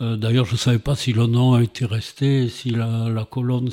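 This man's voice sits at a medium pitch. It has a dark, mellow tone. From Montpellier, southern France. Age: 70s. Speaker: retired former mayor. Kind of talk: interview. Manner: halting.

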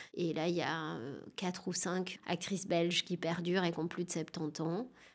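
On a very clean recording with a silent background, a woman speaks in a flat monotone. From France, Dijon suburbs. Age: 40s. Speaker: actress and theatre director. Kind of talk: interview.

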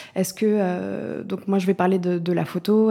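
Here a woman speaks at a medium pitch in a dark, mellow tone. Her intonation is monotone and flat. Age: 20s. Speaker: newspaper photo editor. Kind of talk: interview.

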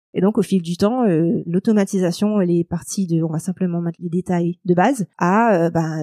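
On a very clean recording with a silent background and a dry, close sound with no echo, a woman speaks fairly slowly at medium pitch in a dark, mellow tone. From Mauritius. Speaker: lawyer. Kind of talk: interview.

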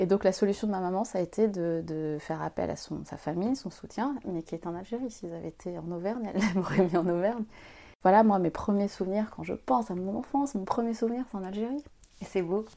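A woman's dark, mellow voice sits at a medium pitch with ordinary pitch variation and big swings in loudness. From Algeria and Paris suburbs. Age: young. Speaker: author and consultant. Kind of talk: personal testimony interview. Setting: at home.

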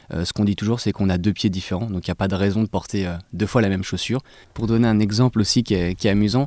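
Talking at a very fast pace, a man with a fairly low pitch and a dark, mellow tone keeps his intonation fairly even, heard as a dry, close sound with no echo in a very clean recording with a silent background. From Paris suburbs, France. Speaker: sneaker brand co-founder. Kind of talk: interview. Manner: halting.

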